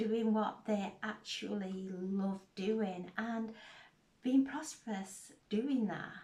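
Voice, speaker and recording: A soft-spoken woman's fairly high, somewhat breathy voice with a dark, mellow tone, at a very slow pace. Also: ordinary pitch variation. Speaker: tarot reader. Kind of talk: spiritual tarot reading.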